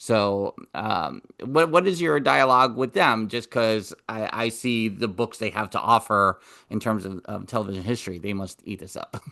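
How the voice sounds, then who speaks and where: A man with a New York accent speaks at a moderate pace and medium pitch, with a bright, sharp tone and lively intonation. His loudness swings widely against a quiet background. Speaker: podcast co-host. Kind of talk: podcast interview.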